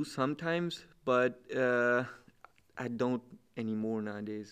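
A man with a medium pitch and an unremarkable speaking voice talks with lively intonation. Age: 20s. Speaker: student, fitness enthusiast. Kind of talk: casual chat.

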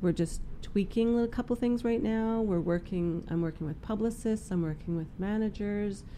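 In a Western Canadian accent, a woman speaks at a moderate pace with a medium pitch and ordinary pitch variation. Her tone is dark and mellow. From Prince George, British Columbia, Canada. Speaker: First Nations musician and artist. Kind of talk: casual interview.

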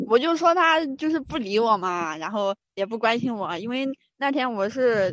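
A woman's fairly high voice with very wide pitch swings, at a moderate pace. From Anhui, Suzhou. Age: 20s. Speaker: caller. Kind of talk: casual chat.

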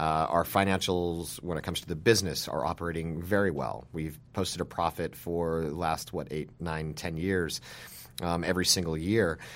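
A man with an American accent, very deep and low in pitch, at a moderate pace with fairly even intonation, on a very clean recording against a silent background. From Utah (small town). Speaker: journalist and press club president. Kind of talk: interview. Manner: halting, many fillers.

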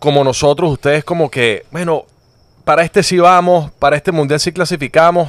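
The sound is dry and close, with no echo. A man goes at a fairly quick pace. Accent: Venezuelan. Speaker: sports podcast host. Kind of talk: casual chat.

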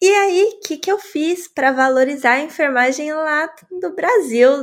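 At a fairly slow pace, the voice swings very widely in pitch. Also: woman. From Brazil, São Paulo. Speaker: nurse and podcaster. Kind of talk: casual chat.

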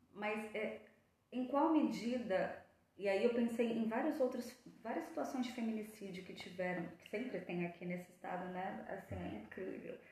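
A woman with a fairly high voice speaks with ordinary pitch movement and big swings in loudness, heard with audible room echo and noticeable background noise. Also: moderate pace. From São Paulo coast, Brazil. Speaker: psychologist. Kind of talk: casual chat.

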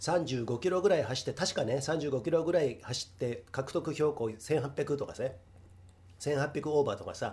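Somewhat breathy and dark, mellow in tone, a man speaks at a fairly quick pace with lively intonation and a fairly high pitch. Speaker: podcast host. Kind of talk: casual solo talk. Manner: rambling, slightly slurred.

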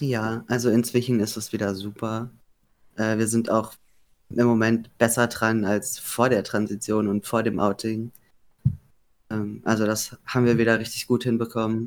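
Monotone, flat intonation from a man at medium pitch, with long, frequent pauses. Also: moderate pace. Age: 20s. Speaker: podcast guest. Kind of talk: interview. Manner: hesitant.

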